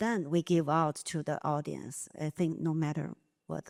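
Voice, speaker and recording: In a Chinese accent, a woman speaks at a fairly slow pace with a fairly low pitch and a dry, close sound with no echo. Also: very clean recording, silent background. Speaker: dance company artistic director. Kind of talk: panel discussion. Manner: halting.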